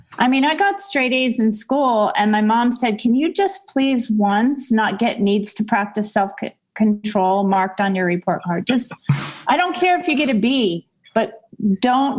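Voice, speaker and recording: A woman speaks at a fairly slow pace with a fairly high pitch and ordinary pitch variation. Her loudness stays very even over background music. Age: 60s. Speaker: teacher. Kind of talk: casual chat.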